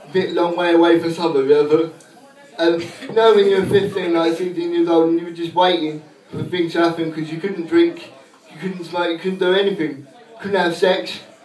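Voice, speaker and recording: There is audible room echo as a man talks at a moderate pace in a high voice. His tone is deadpan, with fairly even intonation. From England, East Anglia (Suffolk). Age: 20s. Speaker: stand-up comedian. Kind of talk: crude self-deprecating stand-up set at an open mic. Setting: pub stage with live audience. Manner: deadpan punchline delivery with laugh pauses; slightly halting, repeats words. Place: bar. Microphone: camera far.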